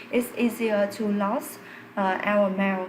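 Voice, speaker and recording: A woman with a non-native accent speaks at a fairly slow pace and a medium pitch. Her intonation is monotone and flat, and there is noticeable background noise. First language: not English. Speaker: English learner doing test practice. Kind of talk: spoken exam practice answer. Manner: halting, many fillers.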